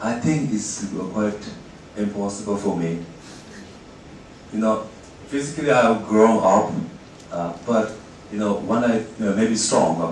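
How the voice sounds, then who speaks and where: Noticeable background noise and audible room echo surround a man with a fairly low pitch. He speaks at a very slow pace. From Tibet (Eastern). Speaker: journalist. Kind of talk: lecture. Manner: halting, many fillers.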